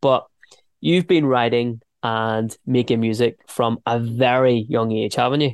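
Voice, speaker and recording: With a Northern Irish accent, a man speaks fairly slowly at a medium pitch and fairly even intonation, the sound dry and close with no echo. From Northern Ireland, Ballynahinch. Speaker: radio host. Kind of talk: interview.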